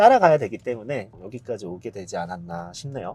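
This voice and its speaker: A man's somewhat breathy delivery, its pitch swinging very widely. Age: 40s. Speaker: business owner, content creator. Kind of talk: interview.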